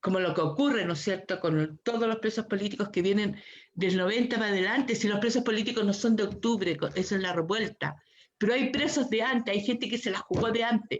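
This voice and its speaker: With a Chilean accent, a woman talks at a fairly quick pace and a fairly high pitch, with ordinary pitch variation and very even loudness. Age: 60s. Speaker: human rights activist. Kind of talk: panel discussion. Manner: impassioned.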